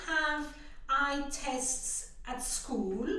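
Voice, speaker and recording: A woman uses a raised, projected voice. Room echo is audible. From France. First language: French. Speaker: visually impaired guest sharing her story. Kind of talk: interview. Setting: podcast.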